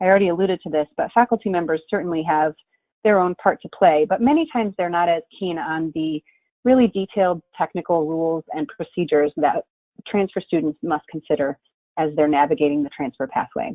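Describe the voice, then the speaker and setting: Her fairly low voice shows ordinary pitch variation as the woman speaks. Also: fairly quick pace. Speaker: webinar presenter on college transfer. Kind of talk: webinar presentation. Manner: fast.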